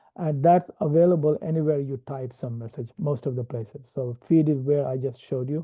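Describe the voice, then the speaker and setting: A man speaks with a non-native accent at a moderate pace. His pitch sits fairly high. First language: not English. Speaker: software developer and platform trainer. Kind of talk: tutorial. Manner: hesitant, many fillers.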